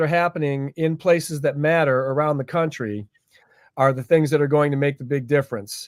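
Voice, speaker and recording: A man with a fairly high pitch speaks at a moderate pace, the sound dry and close with no echo. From Cleveland, Ohio, US. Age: 60s. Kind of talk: interview on live stream.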